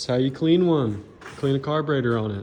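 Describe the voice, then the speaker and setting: A man is talking. Noticeable background noise runs behind him. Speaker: dirt bike reseller and YouTuber. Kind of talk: tutorial. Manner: halting.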